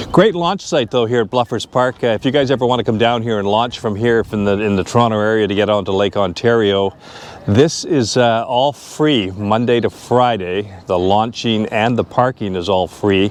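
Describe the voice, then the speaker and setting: Noticeable background noise runs under the recording. A man with a Canadian accent speaks at a fairly low pitch. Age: 60s. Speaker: vlogger. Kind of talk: casual vlog narration. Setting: outdoors.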